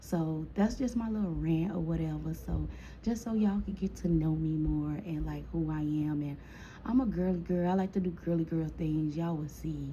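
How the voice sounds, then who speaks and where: Moderate-paced speech from a woman, with room echo audible throughout. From Chicago. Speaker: storytime vlogger. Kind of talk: casual storytime monologue. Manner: casual, chatty.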